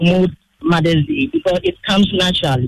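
A man with a Ghanaian accent speaks at a high pitch for a man. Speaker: caller. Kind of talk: call-in opinion.

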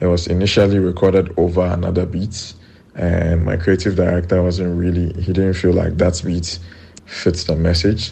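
A man speaks in a very deep, low pitch with monotone, flat intonation. Room echo is audible. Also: moderate pace. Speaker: rapper. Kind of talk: recorded interview.

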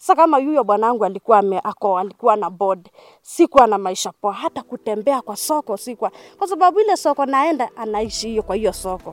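Her pitch swinging very widely, a woman talks at a moderate pace in a dry, close sound with no echo. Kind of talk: testimony. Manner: halting.

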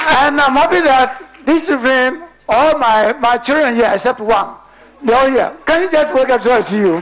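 A man's extremely high-pitched voice over noticeable background noise. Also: ordinary pitch variation, moderate pace. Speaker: award winner. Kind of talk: acceptance speech.

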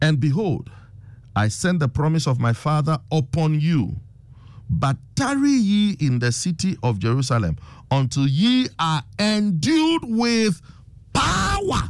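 Speaking fairly slowly with a Ghanaian accent, the man has a fairly high pitch, very wide pitch swings, an animated tone and very even loudness. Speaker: preacher and radio host. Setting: radio studio broadcast. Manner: animated, emphatic, urgent, exhorting the listeners.

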